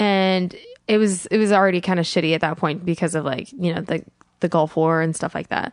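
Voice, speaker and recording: A woman uses a normal speaking voice, fairly low in pitch, moving at a fairly quick pace with fairly even intonation. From Colorado, US, Iraqi-American family. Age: 20s. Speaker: comedian. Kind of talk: casual chat.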